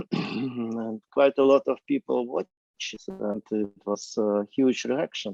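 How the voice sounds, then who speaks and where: A very slow, dark, mellow delivery with hardly any pauses, ordinary pitch variation and a dry, close sound with no echo. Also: man, medium pitch for a man. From Ukraine. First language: Ukrainian or Russian. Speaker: film director. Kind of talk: Q&A discussion. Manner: halting, many fillers.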